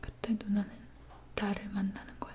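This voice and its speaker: Whispered words come at a fairly slow pace against noticeable background noise. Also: woman. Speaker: ASMR artist. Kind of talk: fairy tale reading.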